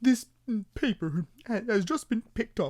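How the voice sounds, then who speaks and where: Someone uses a put-on character voice at a fairly high pitch and a moderate pace. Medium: read story. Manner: hesitant, stammering with "mm".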